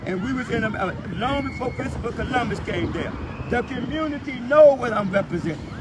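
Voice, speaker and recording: A man speaks with an extremely high pitch and ordinary pitch variation. The room echo is audible, and background noise is noticeable. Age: 70s. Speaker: street preacher and activist. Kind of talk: heated argument filmed live. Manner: animated.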